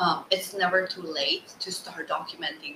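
The speaker has a non-native accent. There is noticeable background noise. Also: woman. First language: not English. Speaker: podcast host, business coach. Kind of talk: interview. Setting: video call. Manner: slow.

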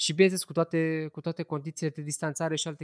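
A man's fairly high, flat monotone at a very fast pace, dry and close with no echo over a quiet background. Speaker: podcast host. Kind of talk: casual chat; news roundup.

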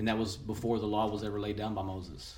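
With a West Texas accent, the voice is somewhat breathy and keeps a fairly even intonation, with audible room echo around it. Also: man. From West Texas (Seminole). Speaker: churchgoing father. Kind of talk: casual chat.

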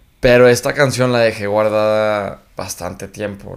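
In a very clean recording with a silent background, a man with a plain, everyday voice speaks at a fairly low pitch and moderate pace. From Mexico, Chihuahua. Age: young. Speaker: singer. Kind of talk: casual interview.

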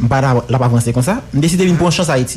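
A man's medium-pitched voice at a fairly quick pace, ordinary pitch variation, noticeable background noise. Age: 20s. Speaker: fashion critic. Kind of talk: casual interview chat.

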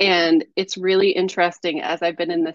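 It's a woman with a plain, everyday voice. Her mid-range pitch varies in the usual way. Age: 30s. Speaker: artist and creative mentor. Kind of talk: casual interview chat.

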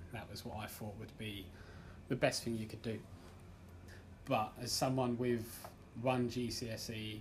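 Over noticeable background noise and audible room echo, a man with an English accent speaks in a fairly low, monotone voice. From England. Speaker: amateur stand-up comedian. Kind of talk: stand-up; casual interview. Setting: comedy club stage with audience.

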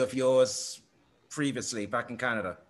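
Over a quiet background, a man with an English accent talks at a moderate pace. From England. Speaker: podcast host. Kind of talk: casual interview. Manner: halting, many repeated words.

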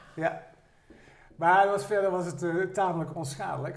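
A man talks at a fairly quick pace in a fairly high pitch. Audible room echo surrounds his voice. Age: 60s. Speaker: retired former student, amateur actor. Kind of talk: casual chat.

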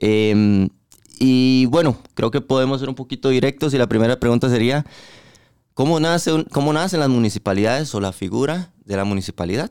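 A man speaks in a Costa Rican accent. The sound is dry and close, with no echo. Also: medium pitch for a man, ordinary pitch variation, moderate pace. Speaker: podcast host. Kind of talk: casual interview.

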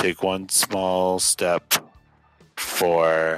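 Putting on a character voice, a man speaks in a very deep, low pitch with monotone, flat intonation while faint music plays in the background. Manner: solemn, measured.

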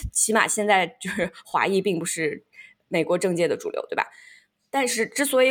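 In a very clean recording with a silent background, a woman uses a plain, everyday voice at a medium pitch, talking at a fairly quick pace with lively intonation. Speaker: podcast host. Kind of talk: casual chat.

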